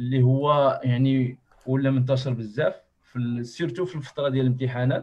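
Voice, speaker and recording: A man's somewhat breathy voice is heard with a quiet background behind it. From Morocco. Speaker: association workshop moderator. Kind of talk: online workshop moderation. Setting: video call. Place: home room. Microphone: earbuds.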